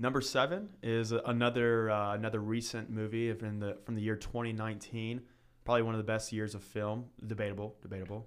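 A man with an American accent speaks at a medium pitch and a fairly quick pace, his intonation monotone and flat, on a very clean recording with a silent background. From Northern Kentucky. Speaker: podcast co-host, college student. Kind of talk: casual chat.

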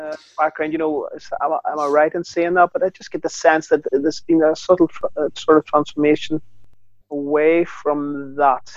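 A Northern Irish accent with monotone, flat intonation, big swings in loudness and a moderate pace. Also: man, fairly high pitch for a man. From Northern Ireland. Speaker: northern correspondent, co-host. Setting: video call, lying in bed.

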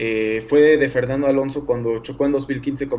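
There is noticeable background noise. A man speaks with flat, monotone intonation. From Mexico City. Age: 20s. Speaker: sports content creator. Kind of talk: casual chat.

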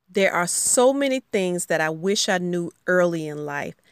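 A woman with a Southern US accent speaks at a moderate pace in a fairly low pitch with ordinary pitch variation. The recording is very clean with a silent background, dry and close with no echo. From US South, rural Alabama. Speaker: podcast host and educator. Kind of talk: solo podcast monologue.

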